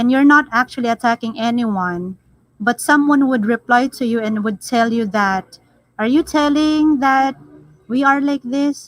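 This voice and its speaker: A woman's fairly slow speech in a Filipino accent, high in pitch with ordinary pitch variation. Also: dry, close sound with no echo. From Philippines. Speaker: live stream panelist. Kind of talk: casual chat.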